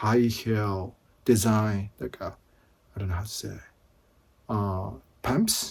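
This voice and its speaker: Very slowly, a man with a Japanese accent speaks in a fairly low pitch with fairly even intonation. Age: 50s. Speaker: vlogger. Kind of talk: casual vlog talk. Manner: halting.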